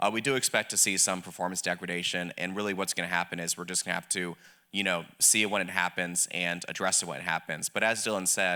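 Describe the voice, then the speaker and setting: Very fast and with hardly any pauses, a man with a slight Southern US accent speaks in a very deep, low pitch, with a bright, sharp tone and fairly even intonation. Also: very clean recording, silent background. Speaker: government policy official. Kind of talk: panel discussion.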